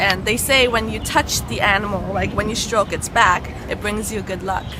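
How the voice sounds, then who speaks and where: Over music in the background, a woman with a medium pitch talks at a moderate pace with fairly even intonation, and the room echo is audible. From Canada, Toronto. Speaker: travel show host. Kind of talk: guided tour. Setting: outdoors in a park. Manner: quiet, hushed in monument; hesitant, many fillers.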